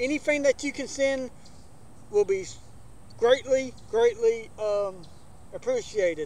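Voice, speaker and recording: With an Alabama accent, a man speaks in an extremely high pitch at a fairly slow pace, with lively intonation. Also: dry sound with no echo. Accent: Southern US (Alabama). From US South, Alabama. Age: 40s. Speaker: backyard wrestling channel host. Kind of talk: casual vlog talk to camera. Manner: casual, hesitant with many fillers. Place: garden.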